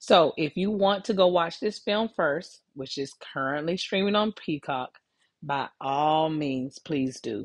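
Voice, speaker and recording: A woman with an American accent speaks at a fairly slow pace and a very deep, low pitch. The background is quiet. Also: lively intonation. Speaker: podcast host. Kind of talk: podcast interview, casual conversation.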